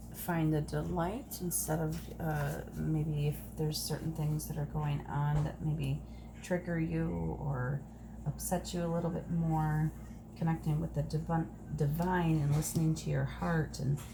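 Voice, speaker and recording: Soft-spoken, with very even loudness, a woman talks at a fairly slow pace amid noticeable background noise and audible room echo. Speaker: tarot card reader. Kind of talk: oracle card reading.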